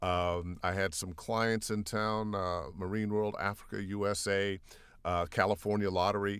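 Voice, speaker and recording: A man with an American accent and a plain, everyday voice, fairly low pitch, fairly even intonation and a fairly slow pace, on a very clean recording with a silent background. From US Midwest, Cleveland, Ohio. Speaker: voiceover artist, former radio DJ. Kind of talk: interview.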